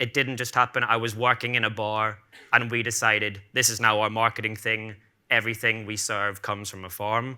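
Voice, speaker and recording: A man at medium pitch with a bright, sharp tone, flat monotone delivery and fairly quick pace, in a very clean recording with a silent background. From Ireland, Cork. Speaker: bartender and bar owner. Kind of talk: conference talk. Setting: stage with audience.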